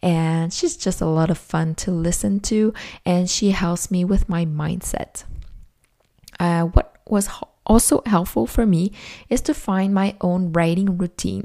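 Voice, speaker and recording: In a Quebec accent, a woman speaks at a fairly slow pace with a dark, mellow tone, a medium pitch and ordinary pitch variation. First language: French. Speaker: podcast host, self-published author. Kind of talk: casual solo podcast monologue.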